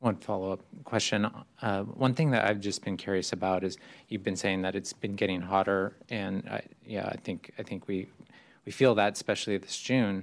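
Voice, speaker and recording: A man with a normal speaking voice, fairly low in pitch, talks at a moderate pace with fairly even intonation. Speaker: city councilmember. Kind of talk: council discussion.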